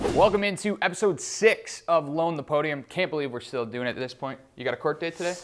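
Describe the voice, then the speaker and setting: A man with ordinary pitch variation talks fairly quickly while music plays behind him. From Ontario, Canada. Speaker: TV host and news reporter. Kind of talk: broadcast reporting and presenting.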